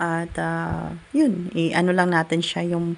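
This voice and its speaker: A woman's voice, fairly low in pitch. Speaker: cooking vlogger. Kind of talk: casual cooking vlog voice-over. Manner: chatty, with frequent fillers.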